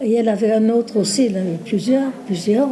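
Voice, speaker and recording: Against noticeable background noise, a woman talks at a fairly high pitch with ordinary pitch variation. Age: 80s+. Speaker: nursing home resident. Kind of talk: casual chat. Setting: nursing home. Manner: talkative; halting.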